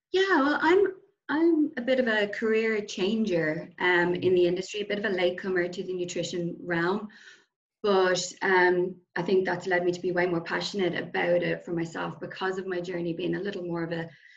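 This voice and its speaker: With an Irish accent, a woman talks at a moderate pace in a medium pitch, using ordinary pitch variation. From Ireland. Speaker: nutrition coach. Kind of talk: casual interview.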